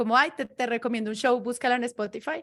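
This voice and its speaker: A woman with a Bogotá accent talks at a high pitch and a fairly quick pace. Her intonation is fairly even against a quiet background. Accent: Bogotá Colombian Spanish, central. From Colombia, Bogotá. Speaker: podcaster, podcast producer. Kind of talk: panel discussion in a virtual event.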